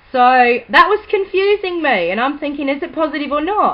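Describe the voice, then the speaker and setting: A woman speaks in a high pitch. Her voice swings very widely up and down. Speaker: vlogger. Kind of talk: casual vlog update. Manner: naturally quiet, trying to speak louder; hesitant, many ums.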